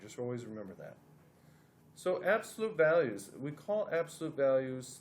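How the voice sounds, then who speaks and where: An ordinary speaking voice at a moderate pace with lively intonation. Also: man. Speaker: math teacher. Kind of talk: tutorial.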